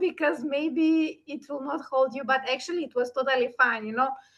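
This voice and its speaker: At a moderate pace, a woman projects a raised voice with a bright, sharp tone. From North Macedonia. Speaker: event organizer and session host. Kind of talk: online interview conversation.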